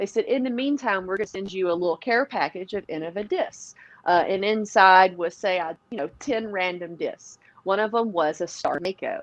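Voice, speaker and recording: With a Southern US accent, a woman talks at a moderate pace. Her medium pitch moves with ordinary variation. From Tennessee, near Nashville. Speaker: professional disc golfer. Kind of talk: podcast interview. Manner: animated.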